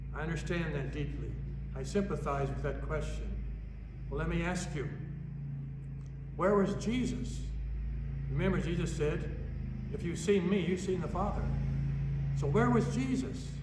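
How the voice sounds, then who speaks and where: A man talks at a moderate pace, with long, frequent pauses and noticeable background noise. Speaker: pastor. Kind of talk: sermon. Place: church.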